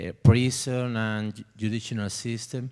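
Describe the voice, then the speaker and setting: The recording is very clean, with a silent background. A man with a Spanish accent speaks at a medium pitch. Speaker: audience member asking a question. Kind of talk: question from the audience. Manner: halting, many fillers.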